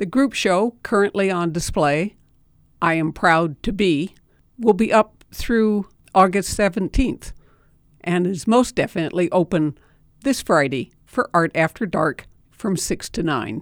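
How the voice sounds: A woman speaks at a fairly slow pace in an ordinary speaking voice of medium pitch, with lively intonation and a dry, close sound with no echo.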